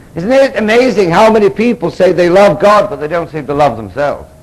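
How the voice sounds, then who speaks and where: With noticeable background noise behind him, a man with an English accent swings his pitch very widely. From England. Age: 40s. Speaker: Episcopal priest and recovery speaker. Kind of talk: conference lecture. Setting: stage with audience. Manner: animated. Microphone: analog recording, poor quality.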